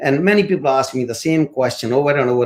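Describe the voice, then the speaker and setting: A man with an Indian accent speaks at a moderate pace in a medium pitch with lively intonation. The recording is very clean with a silent background. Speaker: course instructor and motivational speaker. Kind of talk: interview.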